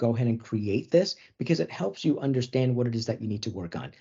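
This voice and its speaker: Against a quiet background, a somewhat breathy man talks at a very fast pace. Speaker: software webinar presenter; webinar presenter. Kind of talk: product demo webinar. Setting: online webinar. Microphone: video call.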